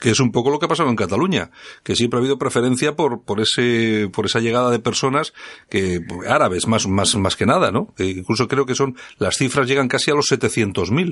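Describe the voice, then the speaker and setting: A man with an unremarkable speaking voice talks at a fairly quick pace in a medium pitch, with lively intonation and very even loudness. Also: quiet background. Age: 50s. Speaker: radio host. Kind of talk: radio talk show interview. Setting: radio studio.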